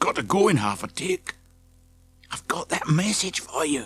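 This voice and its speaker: Putting on a character voice, a man whispers quietly and hoarsely at a moderate pace. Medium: read story. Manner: hushed, hurried.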